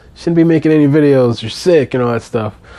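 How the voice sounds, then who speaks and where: Noticeable background noise runs under the clip. A man talks at a very fast pace. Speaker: father. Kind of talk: casual talk to camera.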